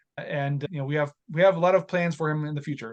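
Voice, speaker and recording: A man speaks at a very fast pace with fairly even intonation. His pitch sits fairly high. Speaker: real estate investor. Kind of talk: podcast interview. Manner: mumbling.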